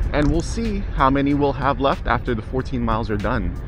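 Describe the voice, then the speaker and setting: Music plays in the background as a man speaks, and the sound is dry with no echo. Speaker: scooter ride vlogger. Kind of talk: casual vlog chat. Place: street.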